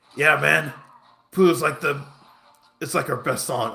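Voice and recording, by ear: A man puts on a raspy character voice at a fairly high pitch. He keeps a moderate pace and fairly even intonation.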